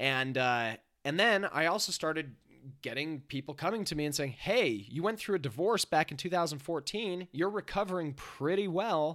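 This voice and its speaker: This man's voice is fairly high in pitch and bright, sharp in tone, with lively intonation at a moderate pace. The recording is very clean, the background silent. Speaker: life coach. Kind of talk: casual chat.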